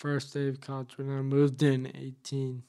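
A man with an American accent, fairly high pitch, a dark, mellow tone and a fairly slow pace. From Massachusetts, US. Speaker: author and motivational speaker. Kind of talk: interview. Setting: studio.

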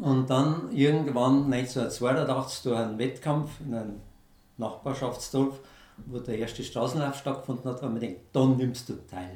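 With a Bavarian accent, a man speaks fairly slowly at a medium pitch. His intonation stays fairly even, and the room echo is audible. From Bavaria, Lower Bavaria (Germany). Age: 60s. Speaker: amateur ultramarathon runner. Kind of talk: interview.

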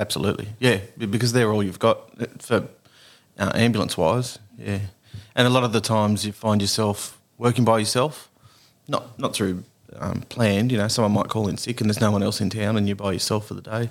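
The recording is very clean, with a silent background. A man with an Australian accent talks at a fairly quick pace with fairly even intonation. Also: fairly low pitch for a man. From Tasmania, Australia. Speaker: paramedic. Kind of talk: casual interview. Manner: halting, with repetitions.

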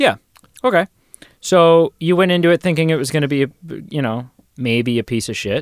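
With a fairly high pitch, a man talks at a fairly quick pace with lively intonation and long, frequent pauses, recorded with a dry, close sound and no echo. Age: 20s. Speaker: film podcast co-host. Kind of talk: casual chat. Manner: animated.

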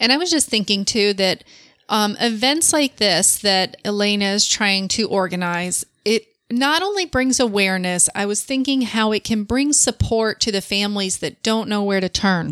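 In an ordinary speaking voice, a woman talks at a medium pitch and moderate pace, with ordinary pitch variation and very even loudness. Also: dry, close sound with no echo. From Florida, born in Michigan. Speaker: podcast co-host. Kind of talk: casual chat.

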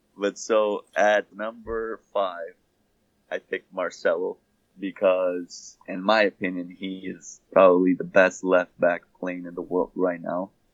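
In a Brazilian accent, a man with a very deep, low pitch speaks at a fairly slow pace with monotone, flat intonation and big swings in loudness, in a dry, close sound with no echo. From Sao Paulo, Brazil. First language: Portuguese. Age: 20s. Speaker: professional soccer player. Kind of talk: interview.

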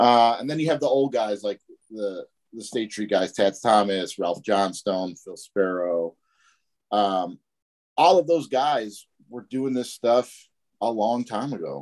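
A man in a Chicago accent, fairly low-pitched and fairly slow, with lively intonation, big swings in loudness and long, frequent pauses. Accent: Chicago American. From Chicago, US Midwest. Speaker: tattoo artist, shop owner. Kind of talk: casual interview.

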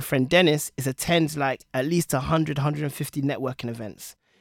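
Speaking very fast with a London accent, a man's fairly high voice comes through a very clean recording with a silent background and a dry, close sound with no echo. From London, England. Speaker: product leader and author. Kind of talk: casual chat. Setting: studio.

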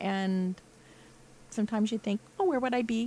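A woman's fairly high-pitched voice with an American accent, fairly even intonation and an unremarkable speaking voice. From Rochester, Indiana. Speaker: jazz band vocalist. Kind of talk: casual chat.

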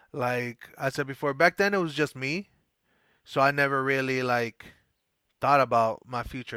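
Relaxed yet bright and sharp, a man of medium pitch speaks at a moderate pace with fairly even intonation, the sound dry and close with no echo in a very clean recording with a silent background. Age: 30s. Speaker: former soccer coach on weight-loss journey. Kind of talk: podcast interview. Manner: casual, relaxed.

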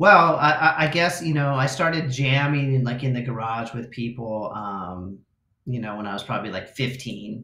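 Bright and sharp in tone, a man's medium-pitched voice moves with lively intonation. He keeps a moderate pace. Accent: American. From Los Angeles suburbs, California. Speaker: guitarist. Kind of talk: casual chat.

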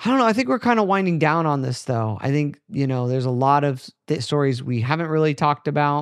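Over a quiet background, a man with a fairly high pitch speaks with ordinary pitch variation. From United States. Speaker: podcast host. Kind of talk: casual chat. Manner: animated.

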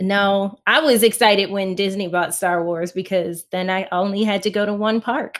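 In an ordinary speaking voice, a woman talks at a moderate pace with medium pitch, fairly even intonation and hardly any pauses. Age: 30s. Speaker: author. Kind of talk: casual chat.

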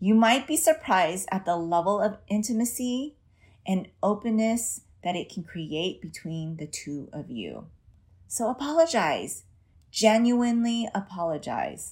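On a very clean recording with a silent background, a woman speaks somewhat breathily at a medium pitch and fairly slow pace, with very wide pitch swings and big swings in loudness. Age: 40s. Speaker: parenting coach. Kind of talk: solo podcast monologue.

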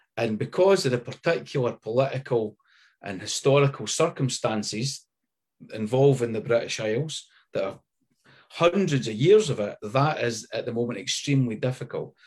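A man with a Scottish accent speaks at a medium pitch and a moderate pace, somewhat breathy and with lively intonation, against a quiet background. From Scotland. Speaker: writer and activist. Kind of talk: panel discussion.

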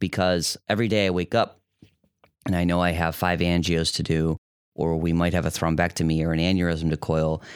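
In an American accent, a man with a very deep, low pitch talks fairly quickly in a monotone, flat intonation at very even loudness, the sound dry and close with no echo on a very clean recording with a silent background. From US Midwest, Metro Detroit. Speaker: physician in fellowship training. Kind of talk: casual interview.

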